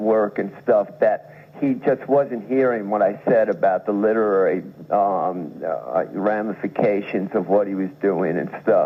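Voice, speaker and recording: A man with an American accent speaks in a plain, everyday voice at a fairly low pitch. His pitch varies in an ordinary way, and he leaves hardly any pauses. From New York. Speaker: writer, poet and musician. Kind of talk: radio interview answer. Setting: radio studio.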